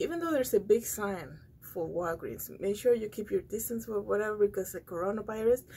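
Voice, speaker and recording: A woman's somewhat breathy voice carries a dark, mellow tone. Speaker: vlogger. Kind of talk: casual vlog chat. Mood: calm, slightly amused. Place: studio. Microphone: phone near.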